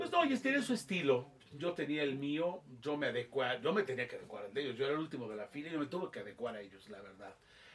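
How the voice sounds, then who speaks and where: Over noticeable background noise, a man talks very fast in a fairly high, animated voice. His pitch swings very widely and his loudness varies greatly. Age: 60s. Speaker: football commentator. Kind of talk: interview.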